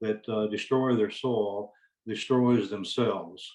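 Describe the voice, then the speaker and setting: Flat and monotone, a man with a Southern US accent speaks at a moderate pace in a medium pitch. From US South (Alabama). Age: 70s. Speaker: hemp farmer. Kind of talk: panel presentation.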